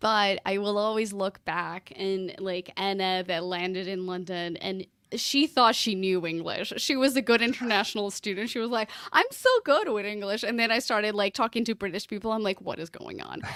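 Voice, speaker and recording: A woman with a slight Portuguese accent speaks at a moderate pace and medium pitch, with ordinary pitch variation and hardly any pauses, amid noticeable background noise. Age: 30s. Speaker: podcast consultant. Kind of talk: casual interview chat.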